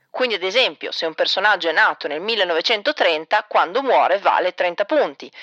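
With a bright, sharp tone, a woman talks at a moderate pace and medium pitch, her intonation lively, in a dry, close sound with no echo. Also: hardly any pauses. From northern Italy, Reggio Emilia. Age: 30s. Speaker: podcaster. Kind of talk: personal storytelling.

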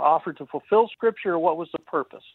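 Using a normal speaking voice, a woman speaks with an American accent, fairly low pitch and lively intonation. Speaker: caller. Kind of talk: call-in question. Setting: phone call.

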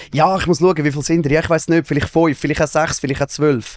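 Speaking very fast, a man with a fairly high voice keeps his intonation fairly even. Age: 30s. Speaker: radio and TV presenter. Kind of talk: casual chat.

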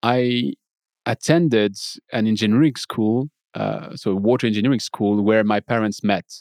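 With a French accent, a man speaks at a moderate pace in a medium pitch with ordinary pitch variation, the sound dry and close with no echo on a very clean recording with a silent background. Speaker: podcaster and water treatment professional. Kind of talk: casual interview.

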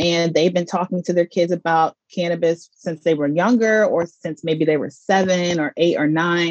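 In a normal speaking voice, the speaker goes at a moderate pace with hardly any pauses and fairly even intonation. The sound is dry and close, with no echo. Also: woman, fairly low pitch for a woman. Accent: American. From US South, Mississippi and Georgia. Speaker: cannabis lifestyle entrepreneur, former journalist. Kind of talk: podcast interview.

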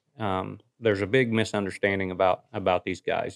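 A man talks fairly quickly in a normal speaking voice, fairly low-pitched, with an American accent. The sound is dry and close with no echo. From US Midwest. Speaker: coon hound sports figure and media producer. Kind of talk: casual interview chat.

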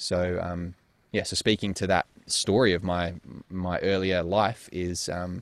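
A man's very deep, low voice in an Australian accent, flat and monotone, dry and close with no echo, on a very clean recording with a silent background. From Perth, Western Australia. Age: 20s. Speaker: sex coach. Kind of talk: interview conversation. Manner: halting, many fillers.

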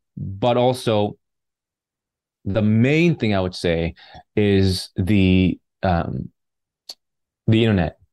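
A man with a Canadian accent speaks very slowly with long, frequent pauses, at a fairly low pitch with a dark, mellow tone and ordinary pitch variation. The sound is dry and close with no echo, over a quiet background. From British Columbia, Canada (Vancouver suburbs and Vancouver Island). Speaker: filmmaker and actor. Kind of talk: interview conversation.

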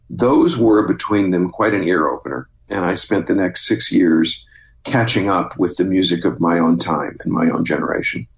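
A man with an American accent talks at a moderate pace while noticeable background noise carries on behind him. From US Midwest, southeast Missouri. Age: 60s. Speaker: drama critic and author. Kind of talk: casual chat.

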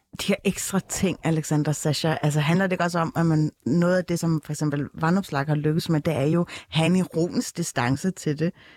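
In an unremarkable speaking voice, a woman talks at a moderate pace with hardly any pauses, her fairly low pitch carrying fairly even intonation and very even loudness, in a very clean, dry, close recording with no echo and a silent background. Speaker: podcast host. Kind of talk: panel discussion. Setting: studio.

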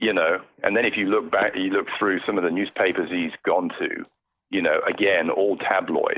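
Speaking at a fairly slow pace, a man talks with a British accent. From Britain. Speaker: podcast guest, palace correspondent.

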